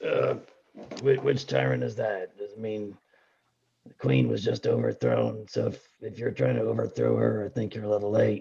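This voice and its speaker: Putting on a raspy character voice, a man speaks at a moderate pace and a fairly low pitch. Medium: actual play. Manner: casual, plain-spoken.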